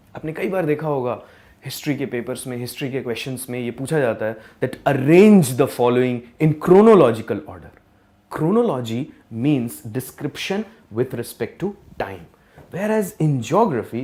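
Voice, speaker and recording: This man's voice has a dark, mellow tone. His pitch swings very widely. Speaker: geography teacher. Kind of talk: lecture. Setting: live online class. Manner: slow, deliberate; code-switching Hindi and English.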